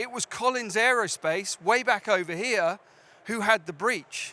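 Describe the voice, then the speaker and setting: A man with a British accent speaks in a raised, projected voice at a high pitch, with a bright, sharp tone. He goes at a fairly slow pace with ordinary pitch variation. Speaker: cybersecurity sales director. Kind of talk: conference talk. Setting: stage with audience.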